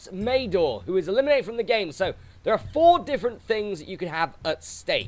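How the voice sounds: Reading done in a natural voice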